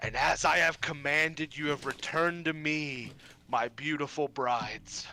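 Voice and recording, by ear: A man puts on a character voice with a fairly high pitch, speaking at a moderate pace. The recording is very clean, with a silent background.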